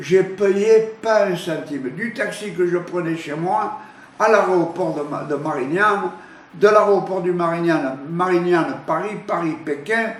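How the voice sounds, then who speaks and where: Over noticeable background noise and audible room echo, a man with a high pitch speaks very slowly with lively intonation. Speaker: photographer. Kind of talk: interview testimony. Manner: halting, many repetitions.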